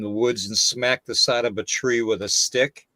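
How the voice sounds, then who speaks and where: At a fairly quick pace, a man with a medium pitch and ordinary pitch variation talks in a plain, everyday voice, the sound dry and close with no echo. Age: 60s. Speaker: paranormal podcast host. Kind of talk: casual chat.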